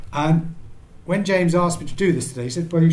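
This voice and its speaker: In a British accent, a man with a fairly high, somewhat breathy voice speaks at a very fast pace amid audible room echo. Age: 70s. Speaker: ophthalmologist and charity patron. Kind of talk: conference talk. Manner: halting.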